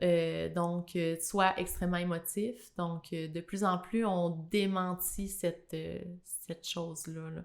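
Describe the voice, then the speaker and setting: A woman with a Quebec accent speaks at a very slow pace. Her fairly low voice stays monotone and flat. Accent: Québécois French. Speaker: podcast guest. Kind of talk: casual interview.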